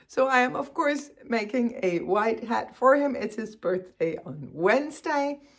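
With hardly any pauses, a woman talks at a fairly slow pace in a high pitch, her intonation lively over a quiet background. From Denmark. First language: Danish. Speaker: knitting podcaster. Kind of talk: casual chat. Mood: cheerful, warm. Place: home room. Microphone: phone near.

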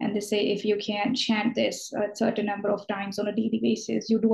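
A woman's somewhat breathy voice with a dark, mellow tone over a quiet background. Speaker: student interviewer. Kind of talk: interview question. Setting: video call. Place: home room. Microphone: video call.

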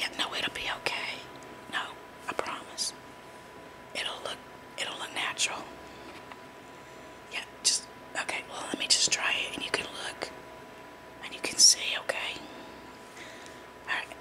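The voice is whispering at a moderate pace. Long, frequent pauses break it up. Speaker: ASMR role-play beautician. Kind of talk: ASMR role play. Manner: whispered. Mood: reassuring, slightly apologetic. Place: home room. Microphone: phone near. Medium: role play.

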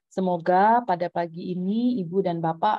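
Against a quiet background, the speech moves at a moderate pace with fairly even intonation and a dry sound with no echo. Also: woman. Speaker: school principal. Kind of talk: welcome speech. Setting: video call. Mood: warm, polite. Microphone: earbuds.

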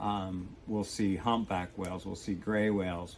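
Over light background noise, a man talks at a moderate pace. His intonation is monotone and flat. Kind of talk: interview answer. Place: boat. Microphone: camera far.

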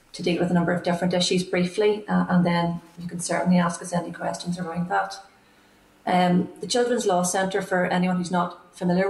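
At a fairly quick pace, a woman speaks in a monotone, flat way, with audible room echo around her. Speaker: remote witness. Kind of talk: formal opening statement. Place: home room. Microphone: earbuds.

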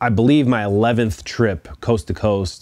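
At a fairly slow pace, a man talks with fairly even intonation in a dry recording with no echo. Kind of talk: casual vlog chat. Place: garage.

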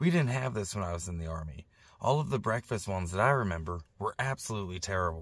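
The pitch swings very widely. The sound is dry with no echo, over light background noise. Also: man. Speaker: van-dwelling vlogger. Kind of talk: casual vlog chat. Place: car. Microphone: phone near.

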